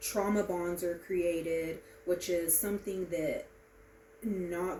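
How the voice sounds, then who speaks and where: A woman speaks at a very slow pace with fairly even intonation. Audible room echo surrounds her voice. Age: 30s. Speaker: student giving a class speech. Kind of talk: informative speech. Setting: presentation to small audience. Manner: halting, many filler ums.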